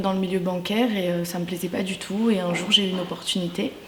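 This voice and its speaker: A woman at a moderate pace and fairly even intonation, with audible room echo and noticeable background noise. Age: 20s. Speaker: former makeup school student. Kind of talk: interview testimony. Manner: halting, many hesitations.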